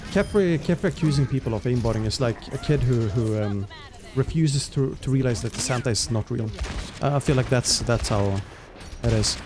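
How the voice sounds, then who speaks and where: A man with a medium-pitched voice talks at a fairly quick pace with lively intonation over noticeable background noise. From Sweden. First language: Swedish. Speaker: esports caster and streamer. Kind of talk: live commentary. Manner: hesitant, many fillers.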